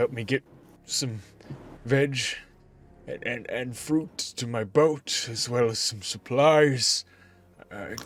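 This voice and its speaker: In a put-on character voice, the speaker moves at a fairly slow pace with ordinary pitch variation. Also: man. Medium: actual play. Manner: halting, stammering.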